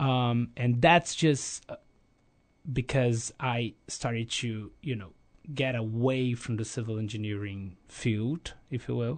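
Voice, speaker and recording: Very slowly, a man talks at a medium pitch with ordinary pitch variation. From Brazil, Rio de Janeiro. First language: Portuguese. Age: 30s. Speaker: energy company planning specialist, former exchange student. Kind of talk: casual interview. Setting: studio. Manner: halting, frequent repetitions.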